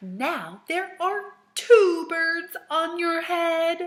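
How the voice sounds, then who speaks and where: The speaker uses a put-on character voice. The delivery is very slow. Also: woman, extremely high pitch for a woman. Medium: read story. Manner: bright, calm, cheery.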